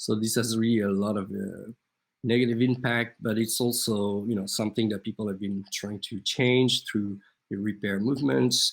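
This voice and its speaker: A man with an ordinary speaking voice talks at a moderate pace. His pitch is fairly low and his intonation fairly even. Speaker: artist and speaker. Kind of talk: conference talk.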